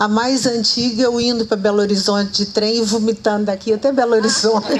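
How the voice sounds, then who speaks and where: There's noticeable background noise behind this speaker. She is a woman with a fairly high pitch. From Minas Gerais, Brazil (Araxá region). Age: 70s. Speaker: author and journalist. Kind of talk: live public conversation. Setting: outdoor event with audience, under trees.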